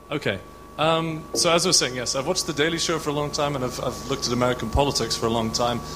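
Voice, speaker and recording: With audible room echo and noticeable background noise, a man with a fairly high pitch talks at a very fast pace and ordinary pitch variation. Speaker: audience member asking a question. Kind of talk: audience question.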